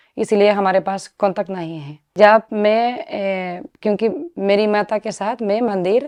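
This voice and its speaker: A woman with a Spanish accent at a medium pitch, with ordinary pitch variation, big swings in loudness, and a dry, close sound with no echo. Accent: Spanish-accented Hindi. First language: Spanish (speaking Hindi). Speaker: sadhvi, former doctor. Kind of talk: interview. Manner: halting.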